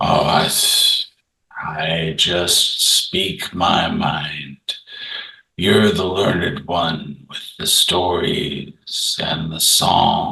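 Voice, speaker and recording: This man talks in a put-on character voice. His pace is very slow. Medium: actual play. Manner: slow, unhurried; plain-spoken, modest.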